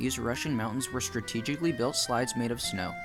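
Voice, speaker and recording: A man talks at a very fast pace with lively intonation. Music plays in the background. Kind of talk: documentary narration.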